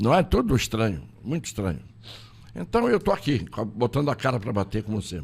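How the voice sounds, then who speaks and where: Vocal fry from a man, with very wide pitch swings. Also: medium pitch for a man, fairly quick pace. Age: 80s+. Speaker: lawyer and political candidate. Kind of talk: interview. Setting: studio.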